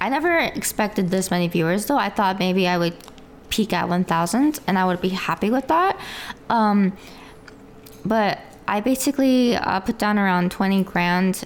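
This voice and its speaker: At a moderate pace, a woman talks in a medium pitch with ordinary pitch variation over noticeable background noise. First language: Korean. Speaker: VTuber streamer. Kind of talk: interview. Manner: halting.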